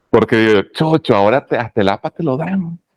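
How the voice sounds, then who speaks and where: Very wide pitch swings from a man at a medium pitch and fairly quick pace, dry and close with no echo. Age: 40s. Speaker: oratory teacher. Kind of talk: lecture. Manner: lowered volume.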